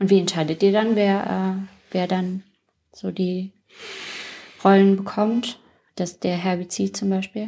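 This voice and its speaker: On a very clean recording with a silent background, a woman of medium pitch speaks at a very slow pace with long, frequent pauses. Her intonation is monotone and flat, her tone dark and mellow. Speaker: podcast host. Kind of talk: casual interview chat. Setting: youth centre, children in background.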